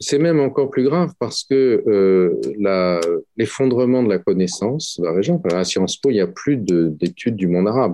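Hardly pausing, a man at medium pitch speaks at a moderate pace with very even loudness and very wide pitch swings. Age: 60s. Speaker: professor, Middle East specialist. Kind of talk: interview. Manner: halting, many hesitations.

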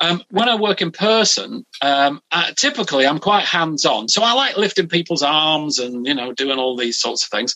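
Very wide pitch swings from a man with a British accent and a fairly high pitch. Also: moderate pace. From UK. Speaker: hypnotherapist. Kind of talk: interview. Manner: halting.

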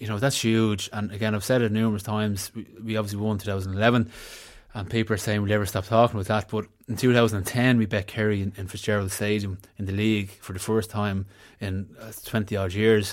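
A man with a Dublin accent and fairly low pitch talks at a very fast pace in a monotone, flat intonation. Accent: Dublin Irish. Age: 30s. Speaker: former footballer and pundit. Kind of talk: casual sports chat.

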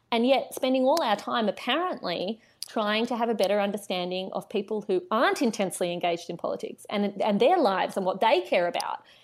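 A woman talks at a fairly quick pace with an Australian accent and hardly any pauses. Her fairly high-pitched voice has lively intonation. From Australia, Canberra. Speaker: writer and commentator, former political staffer. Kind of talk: casual interview chat.

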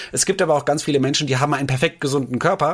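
A man's somewhat breathy voice, very cleanly recorded over a silent background. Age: 30s. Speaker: nutrition expert. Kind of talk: casual chat.

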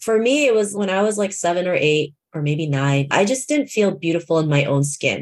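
Against a quiet background, a woman with a plain, everyday voice and a Canadian accent speaks at a moderate pace with ordinary pitch variation. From Toronto, Canada. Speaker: keynote speaker and confidence coach. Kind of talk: podcast interview.

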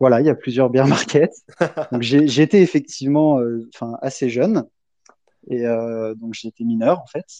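Recorded dry and close with no echo against a quiet background, a man with a medium-pitched voice talks at a fairly slow pace, using ordinary pitch variation, big swings in loudness, and long, frequent pauses. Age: 20s. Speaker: PhD researcher in blockchain, crypto association founder. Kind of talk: casual chat.

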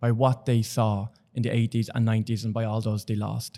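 A man with a Dublin accent speaks at a fairly quick pace and medium pitch, his tone dark and mellow. The recording is very clean, with a silent background. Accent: Dublin Irish. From Ireland, Dublin. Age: 30s. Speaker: HIV activist. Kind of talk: casual chat. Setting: studio. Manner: animated.

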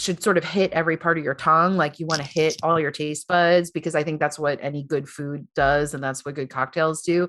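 The speaker has an American accent and moves at a fairly quick pace. There are hardly any pauses. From New York, Long Island. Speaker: business founder, American expat in Paris. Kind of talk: casual interview chat.

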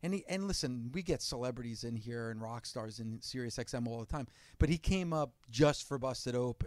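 An ordinary speaking voice with an American accent at a moderate pace, in a very clean recording with a silent background. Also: man, medium pitch for a man, ordinary pitch variation. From New Jersey. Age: 40s. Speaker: radio host. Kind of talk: casual interview chat.

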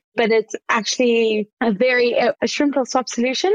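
Fairly quick delivery in a dry, close sound with no echo. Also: woman. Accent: South African. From South Africa, Johannesburg. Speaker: startup founder. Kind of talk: podcast interview.

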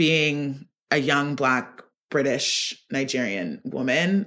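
Very deep and low in pitch, this woman talks with an American accent. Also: very clean recording, silent background. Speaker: fashion stylist and editor. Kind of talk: interview.

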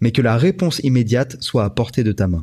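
A man with a dark, mellow tone and medium pitch talks at a moderate pace, somewhat breathy, with lively intonation. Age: 30s. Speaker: YouTuber. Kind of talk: casual chat.

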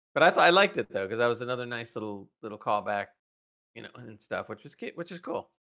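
A man talks at a very fast pace in a medium pitch, his bright, sharp tone carrying lively intonation and big swings in loudness. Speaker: podcast co-host. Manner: casual, conversational.

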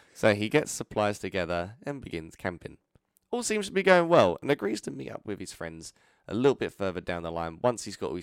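This man talks at a fairly quick pace in a plain, everyday voice, his fairly low pitch carrying lively intonation. The recording is very clean with a silent background and a dry, close sound with no echo. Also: big swings in loudness. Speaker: podcast co-host. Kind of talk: casual banter. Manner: joking, playful.

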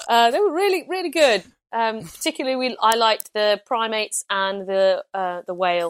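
A woman with an East Midlands accent and a fairly high pitch speaks at a moderate pace with very wide pitch swings, in a dry, close sound with no echo on a very clean recording with a silent background. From East Midlands, England (Loughborough). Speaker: comedian and podcast host. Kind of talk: casual chat.

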